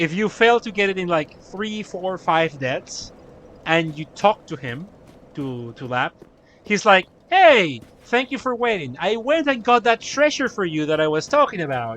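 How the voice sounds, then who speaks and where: Amid noticeable background noise, a man with a Spanish accent speaks fairly slowly at a high pitch, making very wide pitch swings. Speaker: gaming streamer. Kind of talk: live stream commentary. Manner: casual, stammering.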